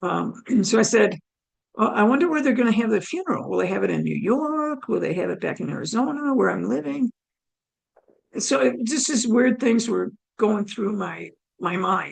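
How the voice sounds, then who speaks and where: A woman with a fairly high pitch and vocal fry talks at a moderate pace, her pitch swinging very widely. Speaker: near-death experience speaker. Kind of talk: testimony.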